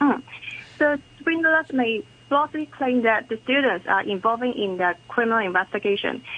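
In a normal speaking voice with lively intonation, a woman talks at a moderate pace. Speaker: police officer. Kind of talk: radio interview.

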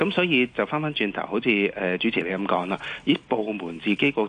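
With a bright, sharp tone, this man's fairly low voice makes big pitch swings.

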